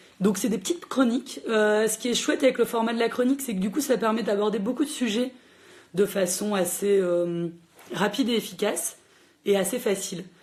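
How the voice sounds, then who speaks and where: The speaker's somewhat breathy voice carries an animated tone at a fairly quick pace. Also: woman, fairly high pitch for a woman, ordinary pitch variation. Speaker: librarian hosting a book chat. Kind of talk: live social media book chat. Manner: fast.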